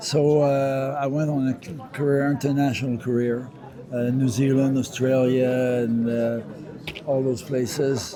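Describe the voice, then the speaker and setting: A man with a French Canadian accent at a fairly slow pace, his intonation flat and monotone, amid noticeable background noise and audible room echo. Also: medium pitch for a man. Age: 70s. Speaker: retired pro wrestler. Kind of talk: interview. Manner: halting, many fillers.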